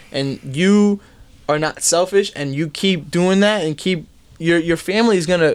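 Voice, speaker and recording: A man with a New York accent, at a moderate pace, with ordinary pitch variation. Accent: New York metro American English. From US, New Jersey, Bergen County suburbs. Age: 20s. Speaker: fashion brand owner. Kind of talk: casual chat.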